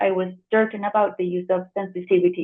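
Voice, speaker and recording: A woman speaks at a fairly quick pace. She has a Spanish accent. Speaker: editor and translator. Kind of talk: conference presentation. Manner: hesitant, many fillers.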